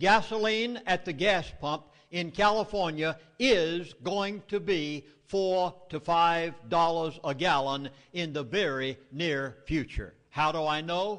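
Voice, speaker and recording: Against a quiet background, a man with an American accent speaks very slowly. His pitch is high. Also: ordinary pitch variation. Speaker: minister and public speaker. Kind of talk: public lecture. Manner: animated.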